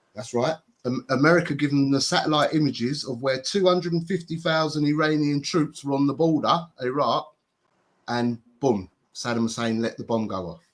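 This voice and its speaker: At a moderate pace, a man talks in an unremarkable speaking voice with a fairly high pitch. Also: ordinary pitch variation. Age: 40s. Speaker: live-stream host. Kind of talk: casual chat.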